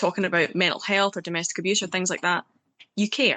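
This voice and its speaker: Against a quiet background, a woman in a Scottish accent talks at a very fast pace. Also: dry, close sound with no echo. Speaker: poet. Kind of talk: interview.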